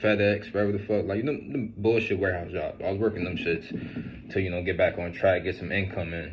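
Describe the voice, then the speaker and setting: This man has a very deep, low voice. He talks at a fairly quick pace. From Central New Jersey, US. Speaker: fitness vlogger and business owner. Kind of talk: casual storytime monologue. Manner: casual, filler-heavy.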